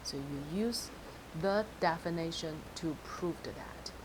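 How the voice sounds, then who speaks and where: A woman speaks fairly low in pitch with ordinary pitch variation. Audible room echo surrounds her voice. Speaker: math teacher. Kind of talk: lecture.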